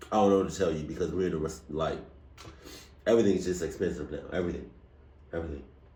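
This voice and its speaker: A man's somewhat breathy, very fast speech with fairly even intonation, long and frequent pauses, and audible room echo. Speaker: reaction video youtuber. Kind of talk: casual chat. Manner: halting.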